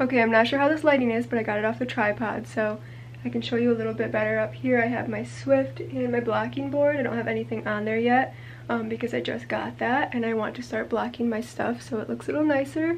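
There is noticeable background noise. Through it, a woman speaks at a very fast pace. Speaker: crochet designer and video creator. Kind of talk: casual vlog chat. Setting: home yarn room, on camera. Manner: casual with fillers.

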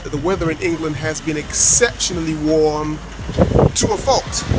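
A man talks at a fairly slow pace with ordinary pitch variation. Noticeable background noise is present. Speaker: street photographer vlogger. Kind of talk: casual vlog chat. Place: street. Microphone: phone near.

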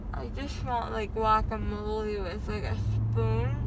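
A woman speaks at a fairly slow pace with ordinary pitch variation, in a dry sound with no echo and noticeable background noise. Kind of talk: casual groggy chat. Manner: groggy, slurred post-anesthesia speech. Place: car. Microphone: phone near.

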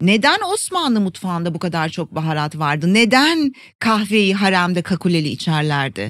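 With very wide pitch swings, a woman talks at a moderate pace and medium pitch in a very clean recording with a silent background. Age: 50s. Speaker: Ayurveda expert and wellbeing educator. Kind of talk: interview.

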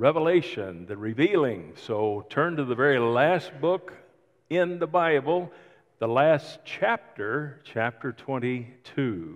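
Against a quiet background, a man speaks at a very slow pace. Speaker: pastor. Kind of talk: sermon. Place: church.

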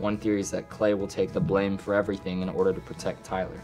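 Over faint background music, a man with a fairly low pitch speaks at a very fast pace. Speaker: actor guest. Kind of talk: interview answer. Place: studio.

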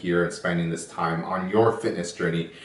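A man talks at a moderate pace, and room echo is audible around his voice. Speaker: fitness channel host. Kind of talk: workout intro tutorial.

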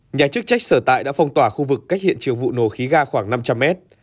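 A man with a plain, everyday voice talks at a fairly high pitch and a fairly quick pace. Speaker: news presenter. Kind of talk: news reading. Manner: formal.

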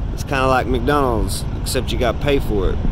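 A man at a fairly slow pace, in a dry sound with no echo, over noticeable background noise. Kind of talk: casual vlog chat. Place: street. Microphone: phone near.

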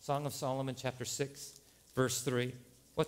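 The speaker reads in an unforced voice.

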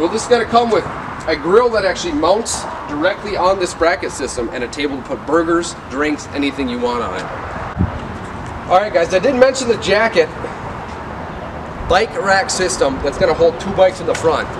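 Noticeable background noise sits behind the speaker. A man talks at a moderate pace. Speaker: RV salesman. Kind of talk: product walk-through. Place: street.

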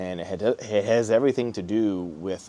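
A man with a low pitch and a dark, mellow tone speaks with fairly even intonation.

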